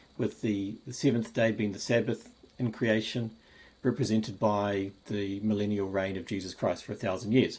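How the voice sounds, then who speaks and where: A man with a New Zealand accent speaks at a moderate pace in a fairly low pitch. His intonation is monotone and flat. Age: 50s. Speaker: Bible enthusiast video maker. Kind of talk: personal video presentation. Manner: halting, frequent repetitions and fillers.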